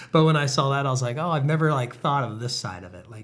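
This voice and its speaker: A man's ordinary pitch variation comes across with audible room echo. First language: not English. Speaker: podcast co-host. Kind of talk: casual chat. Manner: loud.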